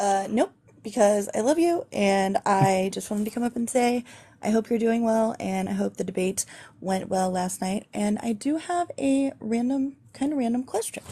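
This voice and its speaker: The intonation is lively and the pace moderate. The tone is dark, mellow and somewhat breathy. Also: woman, fairly high pitch for a woman. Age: 30s. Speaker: friendly caller on live stream. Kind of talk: casual chat.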